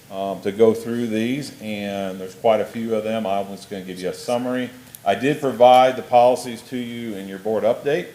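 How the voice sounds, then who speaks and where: A man speaks quietly at medium pitch and a moderate pace, his intonation fairly even but his loudness swinging widely, with noticeable background noise. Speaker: school district administrator presenting policy. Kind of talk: board meeting report. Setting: school board meeting.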